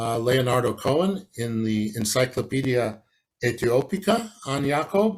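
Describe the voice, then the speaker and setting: A man with medium pitch, somewhat breathy, with lively intonation at a fairly slow pace. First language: Hebrew. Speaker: academic historian. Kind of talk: conference lecture. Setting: online conference from home. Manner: halting, many fillers.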